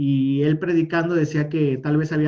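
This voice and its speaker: His dark, mellow tone sits at a fairly high pitch for a man. He speaks at a moderate pace in a monotone, flat intonation. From northern Mexico, Monterrey. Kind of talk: interview testimony.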